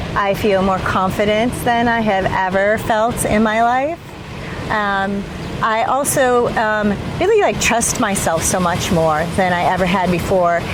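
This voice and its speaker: A woman's medium-pitched voice with ordinary pitch variation and very even loudness, amid noticeable background noise and audible room echo. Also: fairly slow pace. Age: 60s. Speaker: Brazilian jiu-jitsu student, late starter. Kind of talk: casual interview. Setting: outdoors on a beach.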